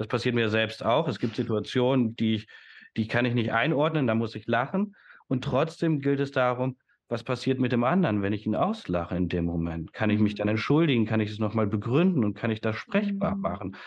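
A man with an unremarkable speaking voice talks at a fairly quick pace and medium pitch, his intonation lively. The background is quiet. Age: 30s. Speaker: educator and systemic coach. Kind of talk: casual interview conversation.

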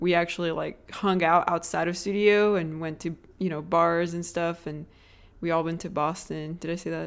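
Recorded very cleanly against a silent background, a woman with a Portuguese accent speaks in a fairly low pitch with fairly even intonation. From southern Brazil. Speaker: podcast co-host, architect. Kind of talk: casual chat. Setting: small apartment.

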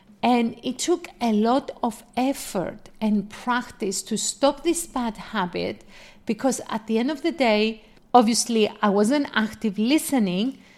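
A woman speaks in a Greek accent at a fairly high pitch. Her pace is fairly slow, with ordinary pitch variation. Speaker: podcast host and life coach. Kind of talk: solo podcast monologue.

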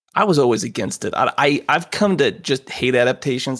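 In a very clean recording with a silent background, a man with vocal fry speaks at medium pitch and a fairly quick pace with lively intonation. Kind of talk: casual chat.

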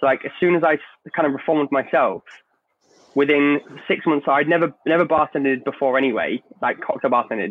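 An unremarkable speaking voice from a man, fairly high in pitch, with very even loudness and ordinary pitch variation. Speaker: bartender. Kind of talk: panel discussion.

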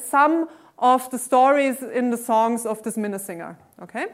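A woman's high-pitched voice with a German accent. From Austria. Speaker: mathematics professor. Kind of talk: lecture. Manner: hesitant, many fillers.

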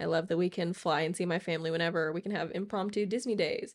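A woman speaks in an ordinary speaking voice, fairly low in pitch with fairly even intonation, on a very clean recording with a silent background. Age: 20s. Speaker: podcast co-host, engaged partner. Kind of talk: casual chat.

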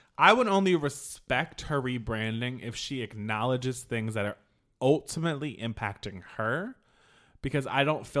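In a very clean recording with a silent background, a man uses an ordinary speaking voice at medium pitch, moderate pace and ordinary pitch variation. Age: 40s. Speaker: podcast co-host. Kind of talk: casual chat.

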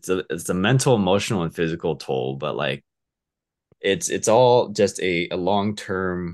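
Speaking at a fairly slow pace with an American accent, a man with a very deep, low pitch keeps his intonation lively against a quiet background. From Southern California, Orange County. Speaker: coaching client, stage manager. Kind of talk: interview, casual chat. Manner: hesitant, many fillers.

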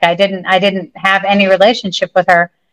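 A woman talks at a medium pitch and a fairly slow pace. Her intonation is monotone and flat, and the sound is dry and close with no echo. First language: English (speaking Spanish). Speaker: pilgrimage group leader. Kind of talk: casual interview.

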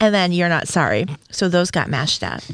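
A woman with a normal speaking voice talks at a fairly low pitch with ordinary pitch variation. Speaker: podcast host. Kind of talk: casual banter.

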